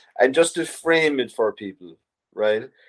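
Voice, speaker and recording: A man with an Irish accent and ordinary pitch variation. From Ireland. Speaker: writer and artist. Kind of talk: interview. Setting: video call.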